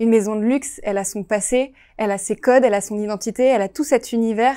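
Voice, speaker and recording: A woman speaks at a fairly quick pace in a fairly high pitch with a dark, mellow tone. Her intonation is fairly even, and the recording is very clean with a silent background. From France, Lyon. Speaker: design student. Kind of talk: testimony. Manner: halting.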